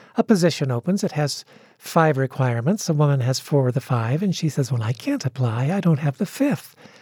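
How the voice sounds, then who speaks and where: This woman has a very deep, low pitch and a dark, mellow tone, somewhat breathy. She speaks at a fairly quick pace with lively intonation. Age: 60s. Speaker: pastor and author. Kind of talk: interview. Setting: radio studio.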